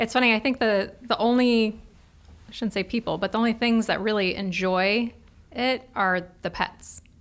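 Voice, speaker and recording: At a moderate pace, a woman with a plain, everyday voice speaks at a fairly high pitch, with fairly even intonation and very even loudness. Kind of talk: radio talk show chat, guest interview. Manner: friendly, easygoing, conversational.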